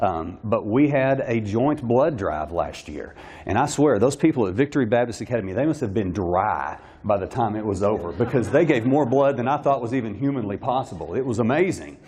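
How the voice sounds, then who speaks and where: A man's medium-pitched voice, dark and mellow in tone, with vocal fry. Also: lively intonation, fairly quick pace. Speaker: private school administrator. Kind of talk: luncheon speech. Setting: luncheon with audience. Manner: fast.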